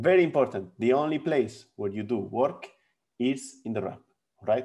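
A man's dark, mellow voice moves at a moderate pace with very wide pitch swings. The background is quiet. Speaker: physics lecturer. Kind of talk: lecture. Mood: friendly, laughs briefly. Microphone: webcam.

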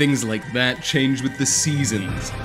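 Music plays behind a man's voice. His pitch swings very widely. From Canada. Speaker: voice actor. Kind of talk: voice acting demo, dramatic scripted monologue. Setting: recorded with background music. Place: home room.

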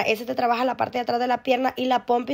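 An animated, high-pitched woman's voice in a very clean recording with a silent background. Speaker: fitness vlogger. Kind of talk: casual vlog workout guide, chatty self-narration while exercising. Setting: outdoors and home, filmed on her own. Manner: animated, friendly, breathless, talking to viewers.

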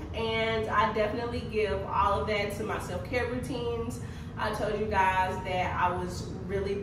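A moderate pace with audible room echo and noticeable background noise. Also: woman. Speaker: wellness coach. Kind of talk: casual vlog chat. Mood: upbeat, relieved. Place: home room.

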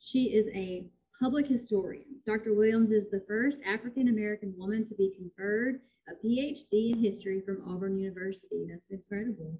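This woman talks at a fairly quick pace in a somewhat breathy voice. Her pitch moves in an ordinary way. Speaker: library director. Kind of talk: formal introduction and Q&A moderation. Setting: video call. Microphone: video call.

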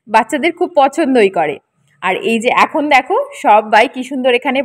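A woman's high voice with very wide pitch swings, dry and close with no echo, in a very clean recording over a silent background. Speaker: vlogger. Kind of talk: casual vlog narration.

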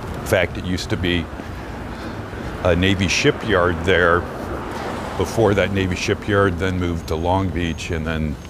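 A man talks at a fairly slow pace with a very deep, low voice and fairly even intonation. The sound is dry with no echo, though background noise is noticeable. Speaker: walking tour live streamer. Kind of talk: commentary. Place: street. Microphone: phone near.

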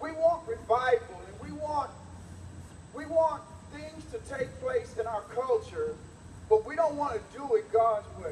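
An animated man speaks fairly slowly at an extremely high pitch, with very wide pitch swings and big jumps in loudness. Long, frequent pauses break up his speech, and light background noise and audible room echo surround it. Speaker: preacher. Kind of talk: sermon to a live church congregation. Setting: church. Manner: animated, call-and-response, pauses for amens; exhortative, laughs and jokes with the congregation. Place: hall. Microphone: camera far.

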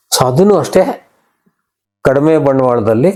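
A man's dark, mellow tone with lively intonation. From Karnataka, Bangalore Rural district. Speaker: businessman. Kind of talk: interview testimony.

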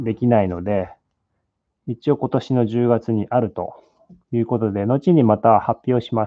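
A man with a Japanese accent speaks, the sound dry with no echo. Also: quiet background. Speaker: sculptor; sculptor demonstrating live. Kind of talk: live sculpting demo, bilingual English and Japanese. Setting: live stream from studio in LA. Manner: halting, hesitant English with many fillers. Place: workshop.

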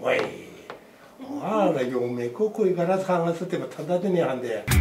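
Over noticeable background noise, a man with a Tsugaru accent speaks in a high pitch with lively intonation. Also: moderate pace. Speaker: storyteller. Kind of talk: casual conversation. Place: meeting room. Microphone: camera far.

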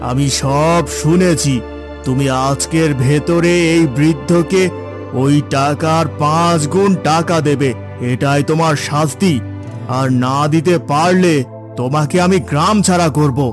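A man puts on a cartoonish character voice, fairly high-pitched, at a fairly slow pace. Loud music plays in the background. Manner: authoritative, stern.

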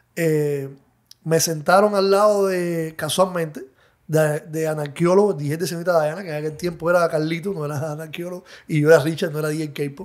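Recorded very cleanly against a silent background, a man with a fairly high pitch speaks at a moderate pace with fairly even intonation in a normal speaking voice. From Cuba. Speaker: DJ and music producer. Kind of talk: interview.

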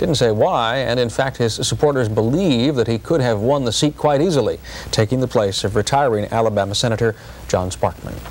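Talking at a fairly quick pace, a man keeps his loudness very even, with ordinary pitch variation. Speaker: news anchor. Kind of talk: news reading. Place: studio. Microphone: lapel.

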